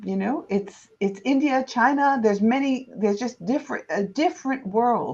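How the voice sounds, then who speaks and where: A woman with an American accent speaks at a moderate pace in a high pitch, with ordinary pitch variation and hardly any pauses. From United States. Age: 60s. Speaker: historian, professor and author. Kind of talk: interview.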